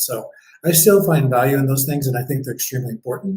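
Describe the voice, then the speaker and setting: A somewhat breathy, medium-pitched man's voice with an American accent. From US Midwest, northeast Ohio near Cleveland. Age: 60s. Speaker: event designer and business owner. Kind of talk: podcast interview.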